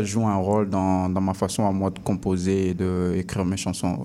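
This man has an unremarkable speaking voice with a fairly low pitch. He talks at a fairly slow pace. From Congo. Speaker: rapper. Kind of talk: interview. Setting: studio.

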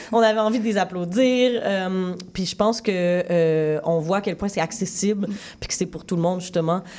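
Recorded very cleanly over a silent background, a woman speaks at a fairly slow pace in a dark, mellow tone with ordinary pitch variation. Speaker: film director. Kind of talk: interview.

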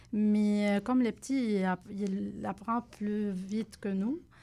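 Very slowly, a woman speaks at a medium pitch with a dark, mellow tone and fairly even intonation. The recording is very clean, with a silent background. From Lebanon. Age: 30s. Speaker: recent immigrant guest. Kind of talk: radio interview.

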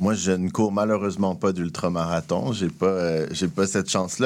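A man with a very deep, low voice talks at a moderate pace with ordinary pitch variation. The recording is very clean, with a silent background. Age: 30s. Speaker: entrepreneurship program director. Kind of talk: radio interview.

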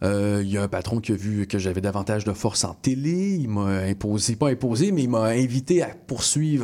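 Recorded very cleanly against a silent background, a man with a normal speaking voice and a fairly low pitch talks at a moderate pace. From Montreal, Quebec (Montréal-Nord). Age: 20s. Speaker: TV news anchor. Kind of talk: interview. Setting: studio.

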